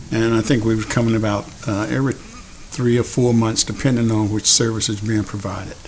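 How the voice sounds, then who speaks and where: With noticeable background noise behind him, a man with an American accent talks at a fairly quick pace, hardly pausing, in a monotone, flat intonation. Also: medium pitch for a man. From United States. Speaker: army veteran, clinic patient. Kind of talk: testimony. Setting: virtual fundraiser video.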